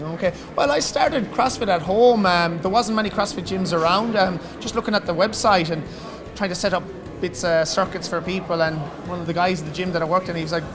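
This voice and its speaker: Here a man with an Irish accent talks at a very fast pace with a high pitch and ordinary pitch variation. Both room echo and noticeable background noise can be heard. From Ireland. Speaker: gym owner and coach. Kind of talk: casual interview. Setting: gym at weightlifting competition.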